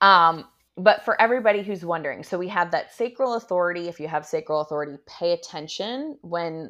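Here a woman talks at a fairly quick pace with lively intonation and a fairly low pitch, in an unremarkable speaking voice. The background is quiet. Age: 30s. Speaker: human design expert and intuitive mentor. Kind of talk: casual chat. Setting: video call.

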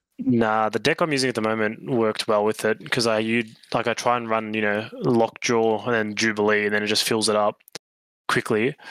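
An ordinary speaking voice at a fairly quick pace, with very even loudness, fairly even intonation and a dry, close sound with no echo. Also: man, medium pitch for a man. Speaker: podcast co-host. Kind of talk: casual chat.

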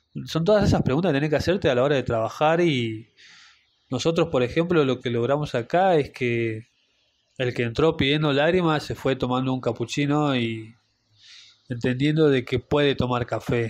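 Against a quiet background, a man with a normal speaking voice talks at a moderate pace, his medium pitch showing ordinary variation. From Salta, northern Argentina. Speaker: barista and café owner. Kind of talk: interview.

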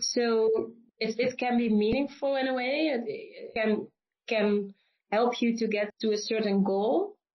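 Speaking with a Limburg accent, a woman uses a fairly high pitch, ordinary pitch variation and a fairly slow pace. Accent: Dutch (Limburg) accent in English. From Netherlands, Limburg (south). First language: Dutch. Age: 20s. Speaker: classical singer. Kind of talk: interview conversation. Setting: video call.

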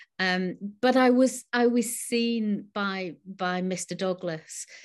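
Against a quiet background, a voice with a northern English accent moves at a very slow pace with ordinary pitch variation. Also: woman. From northern England. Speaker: novelist and creative writing teacher. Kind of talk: casual interview. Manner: hesitant, many fillers and repetitions.

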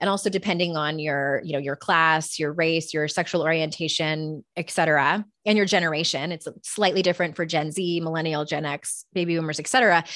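A woman with a plain, everyday voice and fairly low pitch talks at a fairly quick pace with hardly any pauses. Her intonation is fairly even, and the recording is very clean with a silent background. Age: 40s. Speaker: author and life coach. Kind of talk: interview.

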